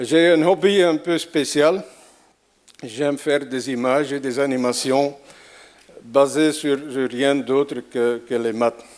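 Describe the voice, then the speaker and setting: Speaking with an Antwerp accent at a very slow pace, a man with a fairly high pitch and ordinary pitch variation takes long, frequent pauses. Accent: Antwerp Flemish accent in French. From Belgium, Antwerp (Flanders). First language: Flemish (Dutch) (speaking French). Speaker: conference speaker, math visualization artist. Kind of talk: lecture. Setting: stage with audience. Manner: halting, with repetitions.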